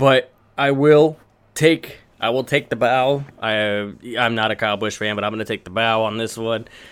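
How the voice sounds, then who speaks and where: A man speaks at a moderate pace with fairly even intonation. It's an ordinary speaking voice on a very clean recording with a silent background. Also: medium pitch for a man. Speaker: podcast host. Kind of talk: casual chat.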